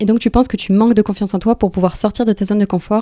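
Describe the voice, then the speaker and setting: A woman speaks at a medium pitch in a dark, mellow tone. The sound is dry and close, with no echo. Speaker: life coach / motivational YouTuber. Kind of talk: motivational talk to camera.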